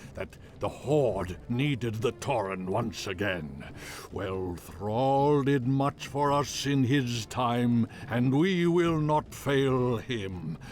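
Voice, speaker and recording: Putting on a character voice at medium pitch, a man speaks very slowly with lively intonation over clear background noise. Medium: video game. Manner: measured, dignified.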